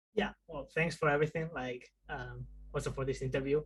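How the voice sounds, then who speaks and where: Speaking at a fairly quick pace, a man has a Spanish accent. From Spain. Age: 20s. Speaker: indie game developer. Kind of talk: video interview. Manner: halting, many fillers.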